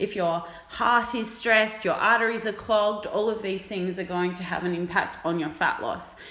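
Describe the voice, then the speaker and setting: A woman's voice with ordinary pitch variation, amid noticeable background noise. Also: medium pitch for a woman, moderate pace, hardly any pauses. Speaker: fitness coach. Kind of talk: casual chat.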